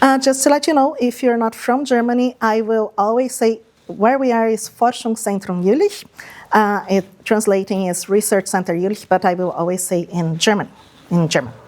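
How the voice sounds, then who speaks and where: A woman with a Portuguese accent, fairly high in pitch, at a moderate pace with ordinary pitch variation. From Brazil. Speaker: project manager and lecturer. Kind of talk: lecture.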